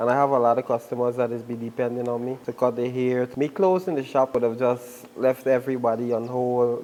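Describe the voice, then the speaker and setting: A man of medium pitch talks at a fairly quick pace over noticeable background noise. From Guyana. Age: 20s. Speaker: musician and barber. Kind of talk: casual interview.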